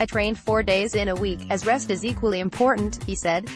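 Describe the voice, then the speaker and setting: With music in the background, a woman speaks at medium pitch and a fairly quick pace, with ordinary pitch variation. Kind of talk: news article read aloud.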